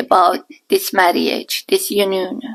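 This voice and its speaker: The speaker has a strong Iranian accent and moves at a fairly slow pace. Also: woman. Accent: thick Iranian. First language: Persian. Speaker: podcast guest, mother-in-law. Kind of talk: casual interview chat.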